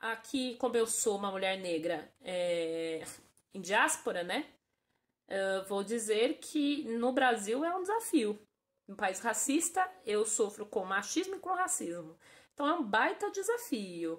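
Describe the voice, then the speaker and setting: Very slowly, a woman speaks in a fairly high pitch that takes very wide swings. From Brazil. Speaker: interviewee. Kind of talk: interview testimony.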